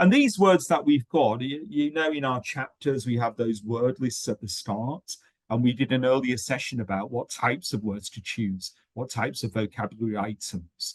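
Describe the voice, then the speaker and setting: A man with a British accent speaks at a medium pitch. His intonation is lively and his pace moderate. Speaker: webinar host and English teaching trainer. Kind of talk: educational webinar discussion. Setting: online webinar. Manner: hesitant, many fillers.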